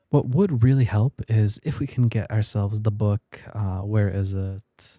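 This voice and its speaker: In a very clean recording with a silent background, a quiet man with a fairly low pitch, a dark, mellow tone and a somewhat breathy voice speaks with fairly even intonation, the sound dry and close with no echo. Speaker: gaming youtuber. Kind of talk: let's play commentary. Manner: quieter, late-night recording; casual, filler-heavy.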